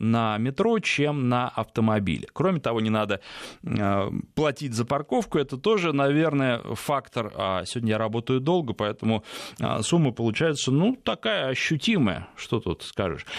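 A man's ordinary speaking voice, medium in pitch, with lively intonation, very even loudness and a fairly slow pace. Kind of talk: call-in radio show. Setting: radio studio.

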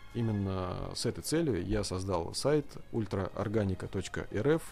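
Male voice with a dark, mellow tone and lively intonation. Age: 30s. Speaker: farmer. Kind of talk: studio interview.

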